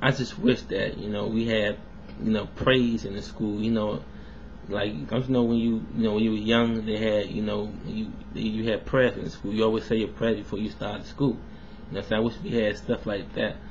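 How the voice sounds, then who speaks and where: In an American accent, a man with a fairly low pitch talks at a moderate pace with ordinary pitch variation, and the room echo is audible. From US South. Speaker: vlogger. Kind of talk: casual video response monologue. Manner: casual, filler-heavy.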